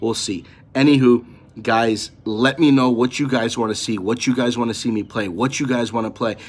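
A man speaks at a moderate pace, and his intonation stays fairly level. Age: 30s. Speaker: gaming YouTuber; gaming channel host. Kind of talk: casual vlog talk to camera. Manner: halting, many fillers. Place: home room. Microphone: phone near.

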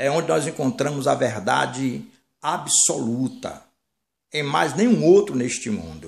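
The voice carries vocal fry and very wide pitch swings at a very slow pace. The background is quiet. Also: man. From Brazil, Bahia (Salvador); Bahia, Brazil. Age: 60s. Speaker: minister, former pastor. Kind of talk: sermon-style monologue. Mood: earnest, warning tone. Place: home room. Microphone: phone near.

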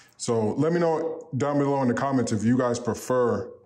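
With an American accent, a man talks at a moderate pace using fairly even intonation. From upstate New York. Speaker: YouTuber and custom apparel business owner. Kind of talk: vlog.

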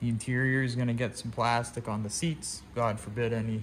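Light background noise sits under a man speaking at a moderate pace. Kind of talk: tutorial. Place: workshop. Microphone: phone near.

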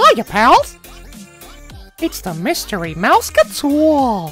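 A put-on character voice, fairly high-pitched and very slow, with faint music in the background. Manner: cheerful, chirpy.

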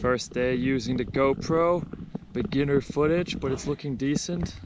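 A man speaks at a medium pitch and a moderate pace, with ordinary pitch variation and audible room echo.

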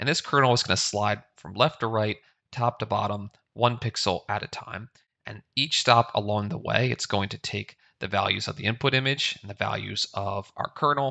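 Against a quiet background, a man speaks at a moderate pace with ordinary pitch variation and big swings in loudness. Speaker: instructor. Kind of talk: tutorial. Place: home room.

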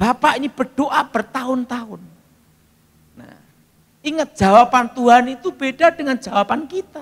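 With an animated tone and big swings in loudness, the speech moves at a moderate pace with ordinary pitch variation and long, frequent pauses in a quiet background. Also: man, extremely high pitch for a man. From Indonesia. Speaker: preacher. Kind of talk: sermon with audience call-and-response. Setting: talkshow, studio with audience. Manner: humorous, storytelling. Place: church. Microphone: handheld.

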